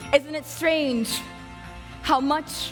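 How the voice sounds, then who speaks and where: With music in the background, a woman speaks at a very slow pace with fairly even intonation. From Sudanese-American. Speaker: poet. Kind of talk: slam poetry performance.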